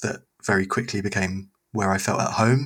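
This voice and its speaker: In a London accent, the speaker has a bright, sharp tone on a very clean recording with a silent background. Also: man. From East London. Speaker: youth pastor. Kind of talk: casual chat.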